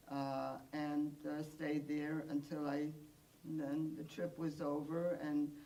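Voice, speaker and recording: A woman with a very deep, low pitch speaks at a fairly slow pace in a monotone, flat intonation, with audible room echo. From Poland. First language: Polish and Yiddish. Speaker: Holocaust survivor. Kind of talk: testimony. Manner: halting, many fillers.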